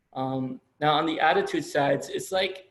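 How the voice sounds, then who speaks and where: With audible room echo around him, a man speaks at a fairly high pitch. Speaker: college lecturer. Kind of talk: lecture. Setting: video call. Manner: fast.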